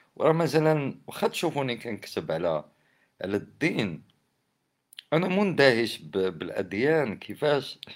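This man's medium-pitched voice, with vocal fry, moves through very wide pitch swings at a very slow pace. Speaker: poet and commentator. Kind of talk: casual monologue. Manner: animated.

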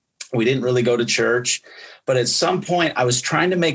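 Here a man with an American accent speaks in an unremarkable speaking voice. His medium pitch shows ordinary variation. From US Midwest, Wisconsin. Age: 50s. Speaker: pastor. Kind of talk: casual chat.

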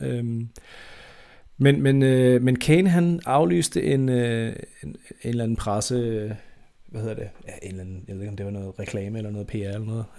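Moderately paced male speech, very cleanly recorded against a silent background. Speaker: football podcast host. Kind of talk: casual chat. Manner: halting.

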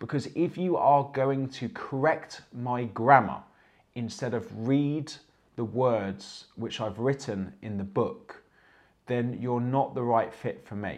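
Speaking with an English accent, a man talks at a very slow pace. His pitch is medium, with ordinary variation. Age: 30s. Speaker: fitness coach and livestream host. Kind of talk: motivational livestream talk. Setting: live stream from home. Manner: animated.

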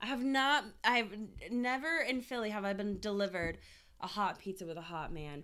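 Loud and animated, a woman speaks at a moderate pace in a medium-pitched voice with a bright, sharp tone and lively intonation. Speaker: podcast co-host. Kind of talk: casual chat. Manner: animated, laughing often.

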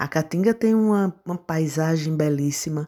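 This woman's voice sits very deep and low. It carries a dark, mellow tone. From Pernambuco sertão, Brazil (Serra Talhada). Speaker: agronomist. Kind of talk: interview. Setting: remote call.

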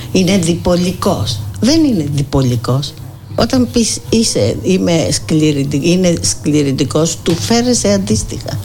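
The speech moves at a fairly slow pace with very wide pitch swings yet very even loudness. Audible room echo and noticeable background noise surround it. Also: woman, very deep, low pitch for a woman. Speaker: psychotherapist and volunteer. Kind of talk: radio interview.

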